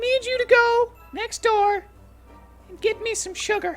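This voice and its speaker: A squeaky, put-on character voice at a moderate pace. Faint music plays in the background. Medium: actual play. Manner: bossy, emphatic.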